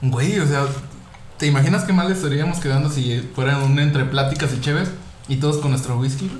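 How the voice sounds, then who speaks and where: A man with a fairly high pitch, fairly even intonation and a fairly quick pace, amid noticeable background noise and audible room echo. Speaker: podcast host. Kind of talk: casual chat.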